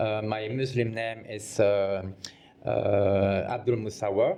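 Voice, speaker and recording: This man has a French accent. His pitch sits fairly low. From Belgium. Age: 50s. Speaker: fashion designer. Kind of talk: interview. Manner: halting.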